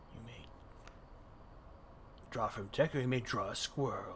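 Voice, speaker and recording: A man in a put-on character voice talks at a moderate pace with big swings in loudness over clear background noise. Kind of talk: ominous game host. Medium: game stream. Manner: slow, solemn, instructive.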